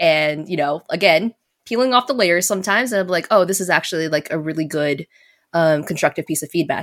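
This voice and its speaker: A woman with an American accent talks in a plain, everyday voice at a fairly low pitch and fairly quick pace, with ordinary pitch variation, on a very clean recording with a silent background. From Las Vegas, Nevada, US. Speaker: video game community manager. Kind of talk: casual chat. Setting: live-streamed podcast.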